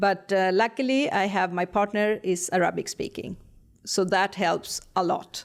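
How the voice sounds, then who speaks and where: Someone with a non-native accent speaks at a fairly slow pace, with fairly even intonation and very even loudness, in a very clean recording with a silent background. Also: woman, medium pitch for a woman. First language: not English. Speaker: interior designer. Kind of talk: casual chat. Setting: studio.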